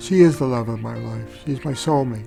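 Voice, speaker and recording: A man speaks with music playing in the background. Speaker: caregiver. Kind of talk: interview answer.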